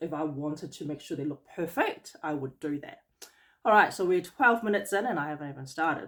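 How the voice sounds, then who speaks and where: Her loudness swinging widely, a woman with an ordinary speaking voice talks at a moderate pace with a fairly low pitch and ordinary pitch variation. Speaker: beauty business owner. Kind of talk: tutorial. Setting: home during lockdown.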